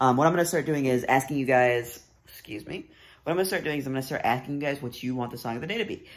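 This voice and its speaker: A man is talking. His pitch shows ordinary variation. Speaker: vlogger. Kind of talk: casual vlog chat. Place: home room. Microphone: phone near.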